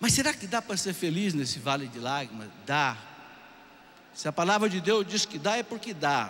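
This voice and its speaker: At a moderate pace, a man's pitch swings very widely. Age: 60s. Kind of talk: sermon.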